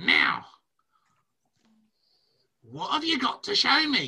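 In a put-on character voice, a man speaks very slowly at an extremely high pitch.

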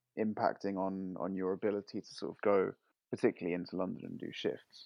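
A man's normal speaking voice, fairly low in pitch, at a fairly quick pace. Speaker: podcast host. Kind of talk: casual chat.

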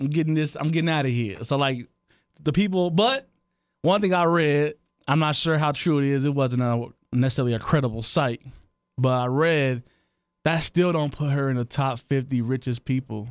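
A plain, everyday voice from a man, fairly high in pitch, at a moderate pace, with ordinary pitch variation and very even loudness. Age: 30s. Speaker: podcast co-host, DJ. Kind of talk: casual chat.

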